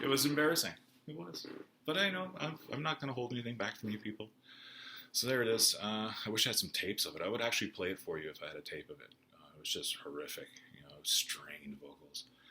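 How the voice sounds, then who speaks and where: A man with a medium pitch speaks at a very fast pace in a bright, sharp tone with vocal fry. His pitch swings very widely and his loudness swings a lot. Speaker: YouTuber recounting music history. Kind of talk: casual personal vlog. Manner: halting with many fillers.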